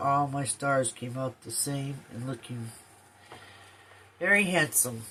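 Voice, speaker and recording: A woman talks with a very deep, low pitch and ordinary pitch variation. Her fairly slow delivery has long, frequent pauses and big swings in loudness. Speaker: quilting vlogger. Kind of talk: tutorial. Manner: soft-spoken; casual with fillers.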